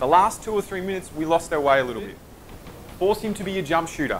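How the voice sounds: A man talks at a fast pace with big pitch swings. His pitch is fairly high and his tone fairly bright.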